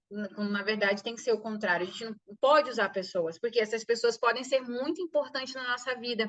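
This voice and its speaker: High-pitched female speech at a fairly quick pace. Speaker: business course instructor. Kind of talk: online lecture. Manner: soft-spoken. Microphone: too quiet.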